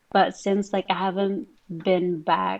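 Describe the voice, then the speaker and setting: Against a quiet background, a woman speaks very slowly at medium pitch. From Philippines. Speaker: podcast co-host. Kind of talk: casual chat.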